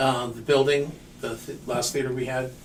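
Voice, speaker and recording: Amid noticeable background noise and audible room echo, a man speaks fairly slowly with a fairly high pitch. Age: 60s. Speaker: podcast host. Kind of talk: casual chat. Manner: halting.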